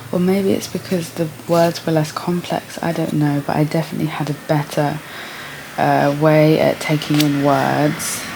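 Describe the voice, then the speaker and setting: A woman with a Received Pronunciation accent and a very deep, low pitch speaks at a moderate pace in monotone, flat intonation, with noticeable background noise. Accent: received pronunciation after reading. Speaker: artist vlogger. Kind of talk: casual vlog monologue. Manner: casual, reflective.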